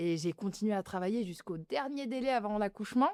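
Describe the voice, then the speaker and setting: A woman speaks in a dark, mellow tone, recorded dry and close with no echo. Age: 30s. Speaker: beauty clinic owner. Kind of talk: interview. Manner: casual, many fillers.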